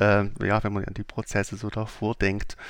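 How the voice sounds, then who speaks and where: In a very clean recording with a silent background, a man speaks in a fairly low pitch with monotone, flat intonation. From Saxony, Germany (Leipzig). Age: 40s. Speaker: company CEO. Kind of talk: interview. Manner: hesitant with frequent fillers.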